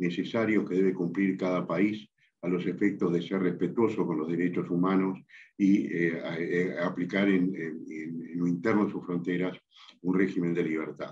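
A man talks in a very deep, low voice. His intonation is monotone and flat. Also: fairly slow pace. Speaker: interviewee. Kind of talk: interview answer. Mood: calm, measured, serious. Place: office. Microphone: video call.

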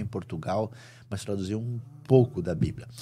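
Against light background noise, a man with a fairly low pitch speaks at a moderate pace in a dark, mellow, somewhat breathy tone with ordinary pitch variation. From Brazil. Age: 60s. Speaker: Bible scholar and preacher; preacher. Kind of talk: interview. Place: studio. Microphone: studio mic.

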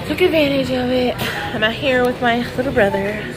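A woman talks while music sounds in the background. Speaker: vlogger. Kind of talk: casual vlog chat. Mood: cheerful, relaxed. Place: cafe. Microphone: phone near.

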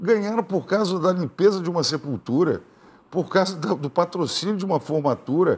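High pitch from a man, with pitch moving in an ordinary way. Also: moderate pace. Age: 60s. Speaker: politician, gubernatorial candidate; candidate. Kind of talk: TV interview. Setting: TV studio. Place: studio.

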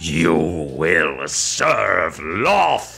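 Over clear background music, a man puts on a booming character voice with a very deep, low pitch. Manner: commanding, ominous.

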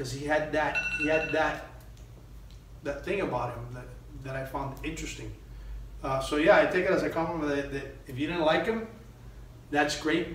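At a fairly quick pace, a man talks amid audible room echo. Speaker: actor being interviewed. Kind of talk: interview answer. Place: meeting room. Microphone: camera far.

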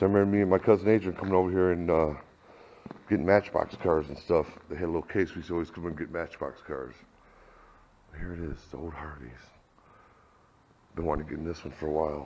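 Over light background noise, a man with a very deep, low pitch and a dark, mellow tone talks at a very fast pace with fairly even intonation. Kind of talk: casual vlog chat. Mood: nostalgic. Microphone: phone near.

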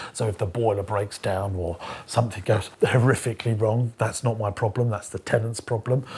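A somewhat breathy voice with a British accent, fairly even intonation and a fairly quick pace. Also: man, fairly low pitch for a man. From UK. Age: 30s. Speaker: entrepreneur and property investor; business coach. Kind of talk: educational vlog monologue. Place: studio. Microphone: lapel.

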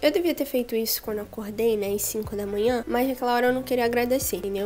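The intonation is fairly even, with light background noise. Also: woman. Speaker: youtuber. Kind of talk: casual vlog chat. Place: home room. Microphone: handheld.

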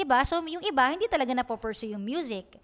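This woman has a high pitch and speaks at a very fast pace. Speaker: radio DJ and YouTuber. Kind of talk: casual chat.

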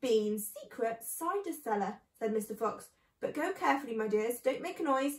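With lively intonation, someone reads in a natural reading voice.

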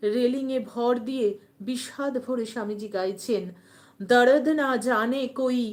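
The woman's voice sits high in pitch, with ordinary pitch variation. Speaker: devotional YouTube channel host. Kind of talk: live-stream talk on religious teachings.

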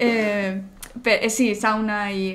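A woman speaks in a monotone with flat intonation. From Spain, Barcelona; Catalonia, Spain. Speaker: video game community manager; guest. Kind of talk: interview. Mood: friendly, smiling. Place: home room.

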